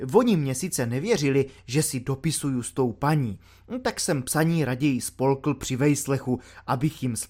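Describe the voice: This is plain reading aloud. The pitch varies in an ordinary way.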